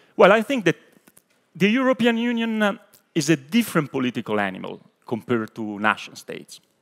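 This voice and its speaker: A man with an Italian accent, high in pitch with very wide pitch swings, at a fairly quick pace with long, frequent pauses, in a dry, close sound with no echo. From Italy. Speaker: European Parliament official. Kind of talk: panel discussion.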